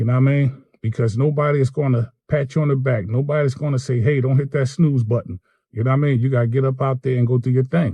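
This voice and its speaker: A man talks very fast with hardly any pauses, his medium-pitched, somewhat breathy voice dark and mellow in tone, with fairly even intonation and very even loudness. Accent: American. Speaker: electrician turned gig worker and vlogger. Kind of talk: casual vlog monologue. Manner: conversational, self-described poor articulation.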